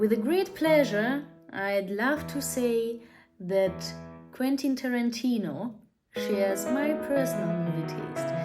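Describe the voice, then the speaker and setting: A woman at a very slow pace, with music in the background and audible room echo. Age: 20s. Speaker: film vlogger. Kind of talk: scripted narration.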